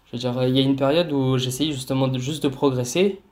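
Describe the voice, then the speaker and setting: Fairly even intonation runs through this man's speech. His pace is very fast. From Cannes / Nice area, southern France. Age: 20s. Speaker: street workout athlete. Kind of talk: casual interview.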